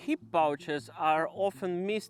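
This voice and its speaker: A man with a Ukrainian accent, high-pitched, with ordinary pitch variation and music in the background. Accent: Ukrainian, self-described as horrible. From Ukraine. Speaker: outdoor gear reviewer. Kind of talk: product review.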